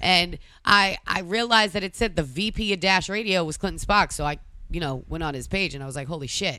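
Bright and sharp in tone, a woman with a Boston accent speaks at a fairly quick pace and fairly low pitch with lively intonation. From Massachusetts. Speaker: DJ and tour organizer. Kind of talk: casual chat.

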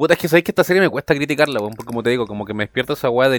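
A man speaks with a Chilean accent. The sound is dry and close, with no echo. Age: 20s. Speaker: podcast co-host. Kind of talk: casual chat.

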